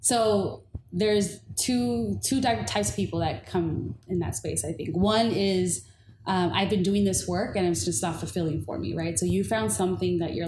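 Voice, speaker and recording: A woman with an American accent talks at a moderate pace, her pitch fairly low. Her pitch swings very widely, and audible room echo surrounds her voice. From Inglewood, Los Angeles, California. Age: 30s. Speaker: diversity consultant and community organizer. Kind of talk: casual chat.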